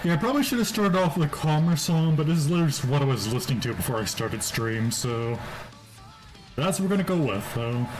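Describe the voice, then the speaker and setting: Over music in the background, a man with a fairly high pitch speaks in a relaxed tone, his voice making very wide pitch swings. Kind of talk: casual gaming livestream commentary. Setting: laptop built-in mic with loud fans, muffled. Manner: relaxed, casual.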